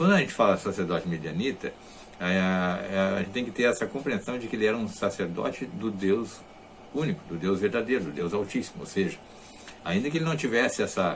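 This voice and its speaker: A man with a fairly low pitch and lively intonation, at a fairly quick pace, with audible room echo. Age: 60s. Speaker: religious teacher. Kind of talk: lecture. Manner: halting.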